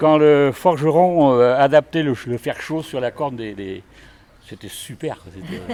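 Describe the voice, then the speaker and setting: A man's fairly high voice at a very slow pace, with lively intonation and big swings in loudness. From Brittany, France (Ille-et-Vilaine). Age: 70s. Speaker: local historian, retiree. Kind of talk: casual chat, guided walking tour.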